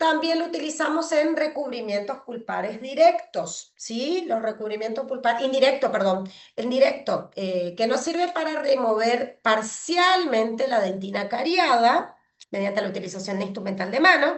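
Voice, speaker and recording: A woman's high voice with very wide pitch swings. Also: moderate pace. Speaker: pediatric dentist lecturer. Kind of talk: online lecture. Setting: video call with screen sharing.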